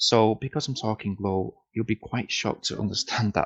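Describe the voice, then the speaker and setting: The voice is quiet and moves at a moderate pace. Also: man. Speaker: product reviewer. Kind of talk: casual product demo. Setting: noisy room at home. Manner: quiet, low volume.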